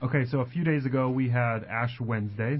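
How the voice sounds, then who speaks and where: This man's voice is medium-pitched and somewhat breathy. He talks at a moderate pace with ordinary pitch variation. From Colorado, US. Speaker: church ministry assistant and radio co-host. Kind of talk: radio Bible Q&A conversation.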